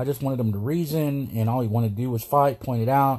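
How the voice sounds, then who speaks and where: Very clean recording with a silent background, a man with a dark, mellow, somewhat breathy tone, medium pitch, fairly even intonation and a fairly quick pace. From United States, Mexican-American. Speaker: podcast host. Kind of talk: solo monologue commentary. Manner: hesitant, many fillers.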